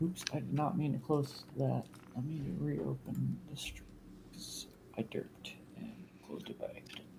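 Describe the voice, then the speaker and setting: Quiet speech at a moderate pace, with long, frequent pauses. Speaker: gamer. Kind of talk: casual gaming chat. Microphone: a little quiet.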